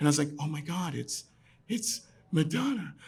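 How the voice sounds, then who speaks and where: In a New York accent, a man speaks with lively intonation at a fairly high pitch. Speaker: storyteller. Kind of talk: live storytelling performance. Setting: pub stage. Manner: garrulous.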